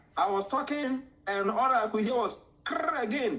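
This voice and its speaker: This man talks with a Ghanaian accent. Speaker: art teacher. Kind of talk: interview storytelling. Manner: animated.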